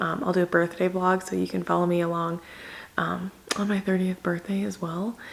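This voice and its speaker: A woman speaks at a moderate pace in a medium-pitched voice. Noticeable background noise runs behind her. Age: 20s. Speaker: lifestyle vlogger. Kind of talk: casual vlog talk to camera. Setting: rented house at night, indoors. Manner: quiet, low volume to avoid waking others; low-energy, subdued.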